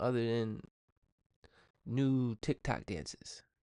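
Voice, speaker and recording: A man mumbles against a quiet background. The sound is dry and close, with no echo. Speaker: podcast host. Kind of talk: casual solo podcast monologue. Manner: mumbling.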